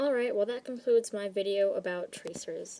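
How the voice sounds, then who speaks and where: A woman's dark, mellow tone at a fairly quick pace. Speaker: art commentary youtuber. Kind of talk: commentary monologue. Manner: fast.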